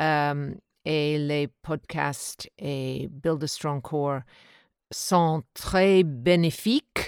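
In a very clean recording with a silent background and a dry, close sound with no echo, a woman with an English accent speaks very slowly at a very deep, low pitch. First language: English (speaking French). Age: 60s. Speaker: podcast listener, French learner. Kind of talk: recorded listener testimony.

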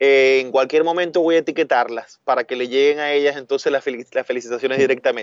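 This male voice sits fairly high in pitch. He moves along at a fairly quick pace. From Venezuela, Maracaibo (Zulia). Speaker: food business owner. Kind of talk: casual interview chat. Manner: animated.

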